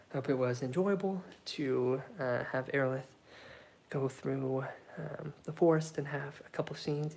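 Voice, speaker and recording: At a moderate pace, this voice comes across as soft-spoken. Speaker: solo tabletop game player. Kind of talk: narrated solo roleplay game.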